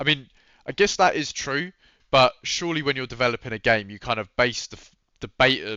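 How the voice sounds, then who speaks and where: At a fairly quick pace, a man with a medium pitch speaks with big swings in loudness. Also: ordinary pitch variation. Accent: British. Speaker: gaming YouTuber. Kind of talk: casual commentary reacting to a read-out update.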